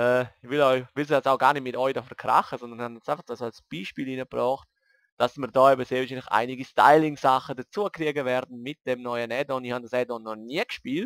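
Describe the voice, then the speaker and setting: A man's medium-pitched voice at a fairly quick pace, with fairly even intonation and a dry, close sound with no echo, on a very clean recording with a silent background. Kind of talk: casual let's play commentary.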